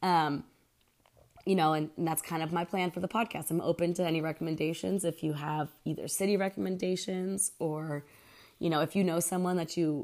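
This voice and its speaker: A woman with an American accent has a plain, everyday voice, fairly low in pitch and fairly quick in pace. The recording is very clean, with a silent background. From Pennsylvania. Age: 30s. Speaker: podcast host. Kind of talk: casual solo monologue. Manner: casual, frequent fillers.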